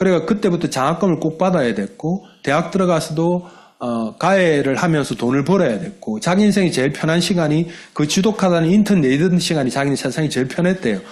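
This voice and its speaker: Speaking in a Busan accent, a man keeps up a very fast pace. His fairly high pitch carries lively intonation. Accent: Gyeongsang dialect (Busan area). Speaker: network marketing business leader. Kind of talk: motivational business talk. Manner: colloquial, dialect-heavy.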